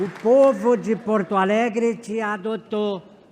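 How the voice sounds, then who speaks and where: Over crowd noise in the background, a man talks at a very slow pace. His pitch is high. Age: 70s. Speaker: city councillor. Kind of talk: ceremonial speech.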